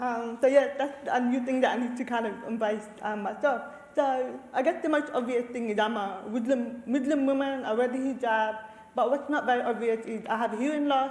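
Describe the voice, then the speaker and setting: Amid audible room echo and noticeable background noise, a woman with a high voice speaks at a moderate pace with fairly even intonation. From Australia, Lebanese family. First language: Arabic. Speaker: researcher, community leader. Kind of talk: panel discussion.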